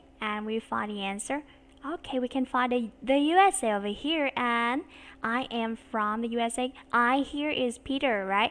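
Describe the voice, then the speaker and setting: A woman with a Vietnamese accent speaks at a fairly slow pace in a high voice, her intonation lively. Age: 30s. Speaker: English teacher. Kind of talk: online English lesson. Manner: slow and clear.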